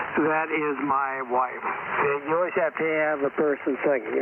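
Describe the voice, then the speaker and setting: Over noticeable background noise, a man speaks at a moderate pace with a fairly high pitch. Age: 60s. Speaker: amateur radio operator. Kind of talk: radio net check-in. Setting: ham radio transmission.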